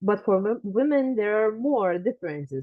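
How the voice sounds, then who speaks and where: A woman speaks in a Lithuanian accent. Her pitch variation is ordinary. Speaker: genealogy researcher and lecturer. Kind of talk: lecture. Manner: halting, many fillers.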